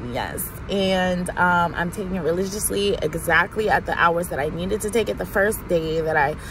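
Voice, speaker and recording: A woman talks at a moderate pace with a medium pitch and ordinary pitch variation. Noticeable background noise is present. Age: 20s. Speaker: vlogger. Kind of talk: personal video diary. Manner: animated.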